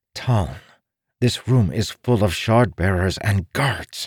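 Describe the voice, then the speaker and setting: A man puts on a character voice, fairly low in pitch with hissing and lively intonation, at a fairly slow pace. The recording is very clean with a silent background and a dry, close sound with no echo. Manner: hissed, urgent whisper.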